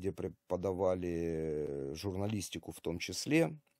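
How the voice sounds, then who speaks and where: The voice has a dark, mellow tone, with a dry sound with no echo and a quiet background. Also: man. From Ukraine (Kharkiv); Ukraine. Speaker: army volunteer medic and video blogger; video blogger. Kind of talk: video monologue to camera. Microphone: webcam.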